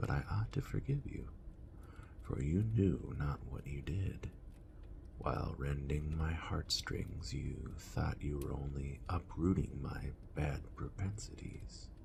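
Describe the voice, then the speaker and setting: Whispering at a very slow pace, the voice keeps a calm, gentle tone. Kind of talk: soft-spoken ASMR book reading. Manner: soft-spoken, calm, gentle.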